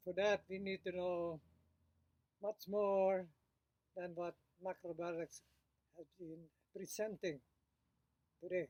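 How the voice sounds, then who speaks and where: A man with a high pitch speaks at a fairly slow pace with fairly even intonation and long, frequent pauses. The sound is dry and close with no echo, and his loudness swings widely. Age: 90s. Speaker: macrobiotics teacher. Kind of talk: casual monologue to camera. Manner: halting, with fillers.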